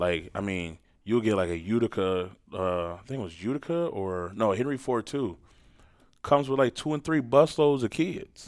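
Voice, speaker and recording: Over a very clean recording with a silent background, a man with an American accent talks at a moderate pace and medium pitch, his pitch swinging very widely. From Port Huron, Michigan, US. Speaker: high school football coach. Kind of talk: casual interview.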